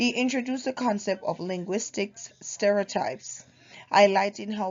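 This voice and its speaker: A woman speaks with a Jamaican accent. Her pitch is medium and varies in an ordinary way. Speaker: university student. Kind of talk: class presentation. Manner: halting.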